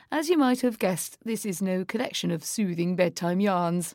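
In an unremarkable speaking voice, a woman talks at a moderate pace and medium pitch with ordinary pitch variation, on a very clean recording with a silent background. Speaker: magazine audio host. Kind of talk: formal newsreading, polished scripted delivery of magazine items with wry wordplay. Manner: crisp, measured, authoritative, dryly witty.

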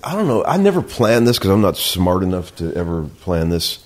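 The speaker has an American accent and talks at a fairly quick pace with very wide pitch swings. Noticeable background noise is present. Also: man. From Cleveland, Ohio. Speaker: session guitarist. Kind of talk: casual chat. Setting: at home in front of a fire. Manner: laughing often.

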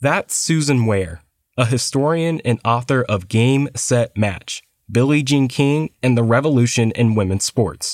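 A man speaks at a fairly slow pace and medium pitch, with a plain, everyday voice and ordinary pitch variation. The recording is very clean, with a silent background. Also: very even loudness, dry, close sound with no echo. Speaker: podcast host narrator. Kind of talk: scripted narration.

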